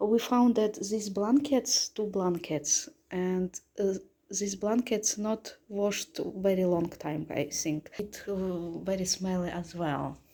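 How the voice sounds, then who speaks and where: In a Russian accent, a woman speaks at a very slow pace with a medium pitch and ordinary pitch variation. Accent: Russian accent, non-native pronunciation. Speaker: travel vlogger. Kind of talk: hotel room review walkthrough. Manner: halting, hesitant non-native speech.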